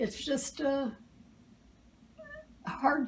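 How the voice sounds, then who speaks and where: Through noticeable background noise, a woman talks at a high pitch. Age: 80s+. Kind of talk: cooking demonstration interview answer. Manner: hesitant, many filler sounds.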